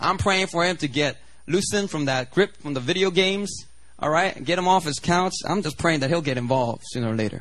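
The speech moves at a fairly quick pace in an animated tone. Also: man, high pitch for a man, ordinary pitch variation. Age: 30s. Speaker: pastor. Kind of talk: sermon. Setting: church.

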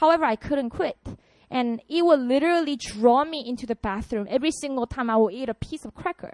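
With a dry, close sound and no echo, a woman with a high pitch talks at a fairly quick pace in an animated tone, her loudness swinging widely and her pitch varying in an ordinary way. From South Korea, Busan. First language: Korean. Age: 30s. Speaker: pastor. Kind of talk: sermon. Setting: stage with audience.

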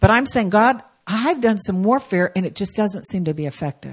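A woman talks at a medium pitch with very wide pitch swings. Her voice is somewhat breathy. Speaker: guest preacher. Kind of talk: sermon. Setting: church.

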